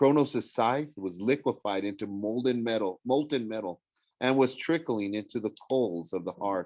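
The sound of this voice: An unforced reading voice, its pitch varying in an ordinary way, sounds against a quiet background.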